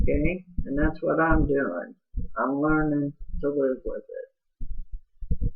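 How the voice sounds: A woman with a low pitch and a raspy voice with a slightly husky edge talks at a slow pace with ordinary pitch variation.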